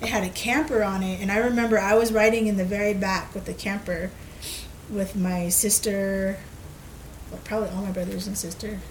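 A woman's fairly even voice at a moderate pace, with long, frequent pauses and audible room echo. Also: medium pitch for a woman. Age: 30s. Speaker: podcast co-host, storyteller. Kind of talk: casual storytelling chat.

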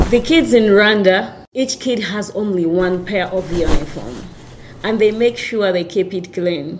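Over noticeable background noise, a woman with a medium pitch speaks at a fairly slow pace with lively intonation. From Rwandan refugee raised in Uganda. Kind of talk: interview testimony.

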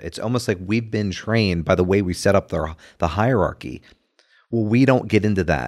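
In a normal speaking voice with an American accent, a man speaks at a moderate pace and fairly low pitch with ordinary pitch variation, on a very clean recording with a silent background. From New Jersey. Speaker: church ministry volunteer. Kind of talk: casual chat.

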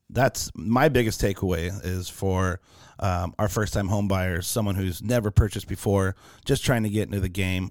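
A man with an American accent speaks in a normal speaking voice, fairly low in pitch, at a moderate pace. The recording is very clean, with a silent background. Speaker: mortgage lender. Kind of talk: casual interview chat.

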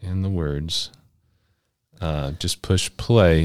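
On a very clean recording with a silent background, a man talks at a very deep, low pitch with fairly even intonation. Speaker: podcast host. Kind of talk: casual interview chat.

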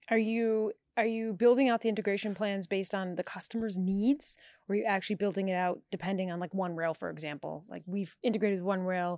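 A woman with a New York accent speaks at a fairly quick pace in a medium pitch, her pitch varying in an ordinary way, on a very clean recording with a silent background and a dry, close sound with no echo. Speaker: podcast host. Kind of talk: casual chat. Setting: at a bar or event venue. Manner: animated.

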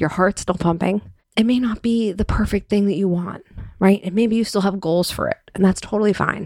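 An unremarkable speaking voice from a woman, medium in pitch, with fairly even intonation. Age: 40s. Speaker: podcast host, personal style coach. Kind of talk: solo podcast monologue.

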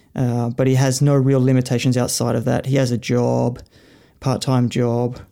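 This man speaks with an Australian accent at a medium pitch and has a dark, mellow tone. His intonation is monotone and flat, and his loudness stays very even. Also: moderate pace. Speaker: cycling coach and author. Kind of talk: casual panel discussion. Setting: live online audio room.

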